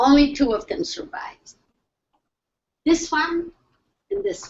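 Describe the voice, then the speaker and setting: A woman talks loudly. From Poland, Lublin. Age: 80s+. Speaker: Holocaust survivor speaker. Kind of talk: testimony. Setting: video call.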